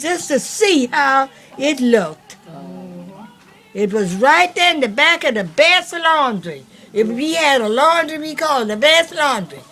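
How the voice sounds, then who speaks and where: A woman speaks in a raised, projected voice, high in pitch, at a fairly slow pace. Her pitch swings very widely, over noticeable background noise. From US South, Savannah, Georgia. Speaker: elderly family member recounting history. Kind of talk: casual family chat. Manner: halting.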